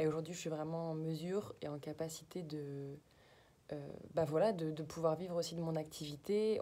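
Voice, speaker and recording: A woman's very deep, low voice with a dark, mellow tone, flat monotone delivery and a fairly slow pace. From western France (Nantes). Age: 20s. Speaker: holistic therapist, customer testimonial. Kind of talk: testimony. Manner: halting, many hesitations.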